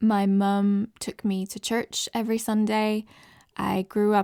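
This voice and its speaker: Dark, mellow voice with an American accent, flat monotone delivery at a fairly slow pace, the sound dry and close with no echo, on a very clean recording with a silent background. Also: woman. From Southern California. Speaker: podcast host. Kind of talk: personal testimony.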